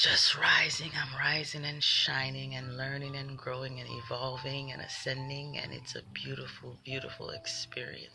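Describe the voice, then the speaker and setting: Soft-spoken, a woman talks at a moderate pace. Noticeable background noise is present. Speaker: spiritual livestreamer. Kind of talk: livestream motivational talk. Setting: live video stream. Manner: animated.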